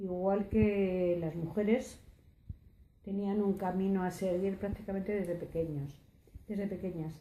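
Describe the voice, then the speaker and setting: Amid audible room echo, a woman with a dark, mellow tone speaks at a fairly slow pace, with medium pitch and fairly even intonation. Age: 60s. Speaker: oral history interviewee. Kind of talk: testimony. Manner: halting, many hesitations.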